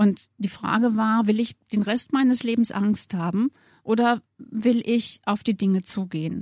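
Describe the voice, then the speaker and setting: Captured in a very clean recording with a silent background and a dry, close sound with no echo, a woman speaks with a somewhat breathy, dark, mellow tone at a medium pitch and fairly even intonation. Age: 60s. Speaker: model. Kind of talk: interview.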